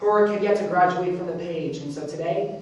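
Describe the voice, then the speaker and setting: Noticeable background noise surrounds speech delivered at a fairly quick pace. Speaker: spoken word poet. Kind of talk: spoken word performance.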